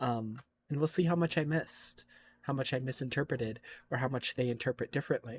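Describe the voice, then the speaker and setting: The speech moves at a very fast pace on a very clean recording with a silent background. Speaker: streamer. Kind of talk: casual chat. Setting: live stream. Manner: animated.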